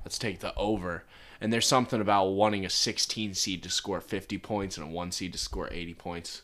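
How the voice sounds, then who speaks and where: This is an ordinary speaking voice, a man with an American accent at a fairly low pitch. He keeps a moderate pace and fairly even intonation on a very clean recording with a silent background. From Pittsburgh, Pennsylvania. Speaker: podcast co-host. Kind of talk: casual banter. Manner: sarcastic, jokey.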